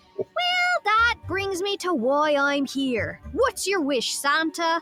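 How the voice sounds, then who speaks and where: A cartoonish character voice speaks at a very slow pace. Faint music plays in the background. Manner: cheeky.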